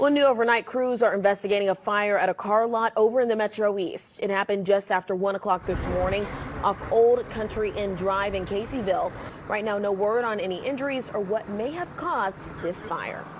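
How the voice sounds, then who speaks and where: A woman with an American accent speaks at a fairly quick pace and medium pitch, with ordinary pitch variation, over noticeable background noise. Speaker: TV news anchor and reporter. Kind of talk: local TV news anchor delivery. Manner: conversational, poised, clear.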